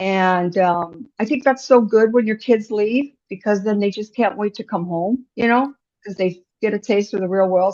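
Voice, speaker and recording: A woman talks with an Upper Midwest accent at a medium pitch. Her pace is moderate and her pitch variation ordinary. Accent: Upper Midwest American. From rural North Dakota. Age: 60s. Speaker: business owner. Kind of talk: podcast interview. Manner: talkative.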